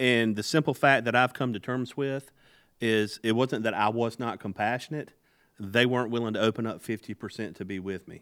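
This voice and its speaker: The recording is very clean with a silent background, and a man speaks at a fairly quick pace in a medium pitch. He has an ordinary speaking voice with fairly even intonation. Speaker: podcast host and leadership guest. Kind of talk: casual podcast interview.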